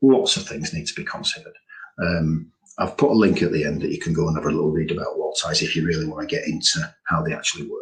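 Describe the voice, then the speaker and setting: Very wide pitch swings mark this voice, along with vocal fry. The pace is fairly quick. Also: man. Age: 60s. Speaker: building preservation specialist. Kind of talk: webinar presentation. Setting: online webinar. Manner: casual, conversational.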